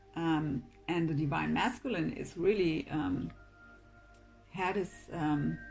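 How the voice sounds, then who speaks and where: Music plays in the background as a woman speaks at a very deep, low pitch. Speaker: tarot reader. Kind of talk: tarot reading to camera.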